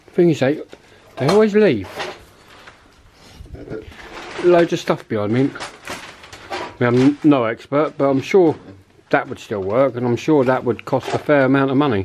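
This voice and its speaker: A man at a moderate pace, with long, frequent pauses and light background noise. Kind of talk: casual exploration commentary. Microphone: phone near.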